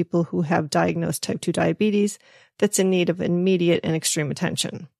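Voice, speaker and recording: Against a quiet background, a woman talks at a fairly quick pace in a medium pitch with ordinary pitch variation, the sound dry and close with no echo. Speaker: podcast host and health coach. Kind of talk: solo podcast monologue. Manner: fast.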